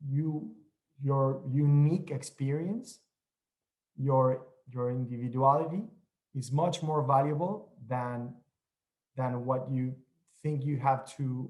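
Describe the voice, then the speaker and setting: Speaking very slowly in a Mexican accent, a somewhat breathy man leaves long, frequent pauses and uses ordinary pitch variation. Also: medium pitch for a man. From Mexico. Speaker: TV news correspondent. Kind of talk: panel discussion.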